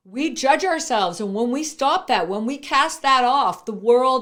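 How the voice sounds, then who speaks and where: This loud woman has an animated tone and very wide pitch swings. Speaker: entrepreneur and speaker. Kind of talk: motivational interview talk.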